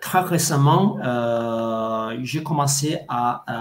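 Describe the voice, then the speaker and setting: Speaking very slowly, a man uses ordinary pitch variation. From Italy. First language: Italian (speaking French). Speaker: language coach. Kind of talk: interview. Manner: halting, many hesitations.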